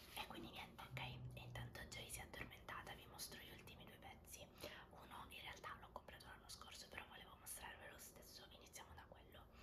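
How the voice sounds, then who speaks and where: A woman whispering at a fairly quick pace. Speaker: ASMR creator. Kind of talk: ASMR haul show and tell. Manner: whispered. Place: home room.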